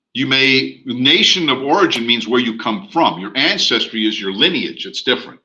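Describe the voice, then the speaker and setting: Bright and sharp in tone, a man's medium-pitched voice carries an American accent and lively intonation at a moderate pace. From US. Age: 60s. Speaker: real estate instructor. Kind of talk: online class lecture. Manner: casual, conversational.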